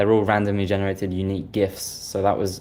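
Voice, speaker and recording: A man's fairly low voice with a British accent, very fast and monotone, flat in intonation. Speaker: software developer. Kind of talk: interview.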